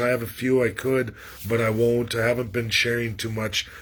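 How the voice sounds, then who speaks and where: The speaker is a man with fairly even intonation. He talks at a moderate pace. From western Canada (Alberta). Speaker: political commentator livestreamer. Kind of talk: casual livestream monologue. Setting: livestream from rural area, shaky internet. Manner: rambling, repeats words, halting.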